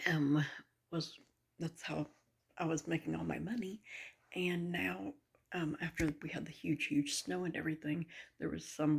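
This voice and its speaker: Soft-spoken and with vocal fry, a woman uses a very deep, low pitch and lively intonation at a moderate pace, with long, frequent pauses. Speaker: vlogger. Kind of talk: casual vlog monologue.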